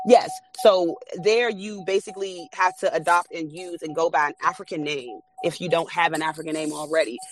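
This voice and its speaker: Moderate pace with hardly any pauses, over music in the background. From US, Washington, D.C. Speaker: spiritual podcast host. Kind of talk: casual live talk. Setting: in a car. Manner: casual, hesitant with many fillers.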